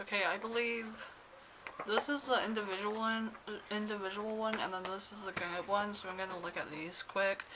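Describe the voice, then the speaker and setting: A woman speaks with fairly even intonation. There is noticeable background noise. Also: medium pitch for a woman, moderate pace. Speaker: K-pop fan vlogger. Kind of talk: unboxing vlog.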